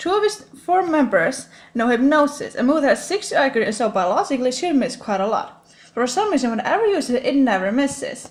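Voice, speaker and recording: The robotic voice rushes along at a very fast pace, its pitch swinging very widely. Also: woman, high pitch for a woman. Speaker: gaming YouTuber. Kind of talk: scripted top 10 commentary. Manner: stiff, robotic delivery.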